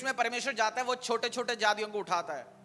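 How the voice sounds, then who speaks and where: The voice is raised and projected, with a bright, sharp tone. It has a non-native accent and fairly even intonation. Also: man. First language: not Hindi (speaking Hindi). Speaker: pastor. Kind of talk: sermon.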